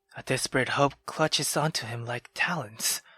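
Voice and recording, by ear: The tone is bright and sharp, with ordinary pitch variation at a moderate pace. Faint music plays in the background. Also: man.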